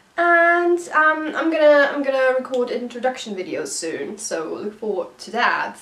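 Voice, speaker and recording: Against noticeable background noise, a high-pitched woman speaks at a fairly slow pace with hardly any pauses, very wide pitch swings and big swings in loudness. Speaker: singer-songwriter YouTuber. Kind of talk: casual vlog talk to viewers.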